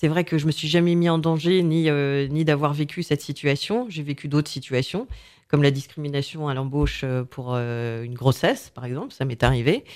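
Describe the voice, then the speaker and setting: Her pitch is very deep and low, yet this woman talks with ordinary pitch variation. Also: moderate pace. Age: 40s. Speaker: business owner. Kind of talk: casual chat.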